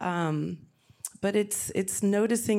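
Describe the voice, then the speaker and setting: A woman's dark, mellow voice with an American accent and ordinary pitch variation, in a very clean recording with a silent background. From Ohio. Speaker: therapist. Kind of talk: panel discussion. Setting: stage with audience.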